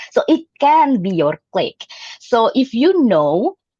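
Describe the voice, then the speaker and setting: Very wide swings mark the pitch. No echo touches the dry, close sound. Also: woman. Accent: Indonesian. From Indonesia (Jambi, Sumatra). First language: Jambi Malay. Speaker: club member giving a speech. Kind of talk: prepared speech. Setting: hybrid club meeting. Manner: hesitant, with fillers.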